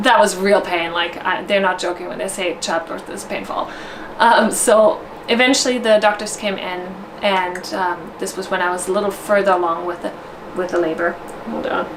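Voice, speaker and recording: In a German accent, a woman of medium pitch speaks at a moderate pace with ordinary pitch variation, over noticeable background noise and audible room echo. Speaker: vlogger, new mother. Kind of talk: personal storytelling vlog. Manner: casual, with fillers and self-corrections.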